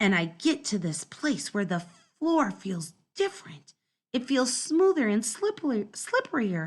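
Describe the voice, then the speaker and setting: A woman puts on a character voice, fairly high in pitch with very wide swings, at a moderate pace. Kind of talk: first-person children's story reading. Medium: read story. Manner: lively, dramatic.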